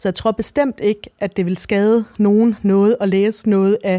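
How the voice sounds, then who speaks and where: This woman's voice has a dark, mellow tone and fairly even intonation, moving at a fairly slow pace with a dry, close sound and no echo. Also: very clean recording, silent background. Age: 40s. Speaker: novelist. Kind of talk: interview. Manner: halting.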